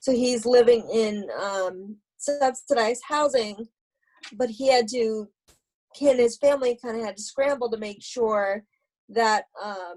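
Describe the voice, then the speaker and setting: A plain, everyday voice speaks at a fairly slow pace with fairly even intonation but big swings in loudness. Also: woman, fairly high pitch for a woman. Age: 30s. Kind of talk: interview answer.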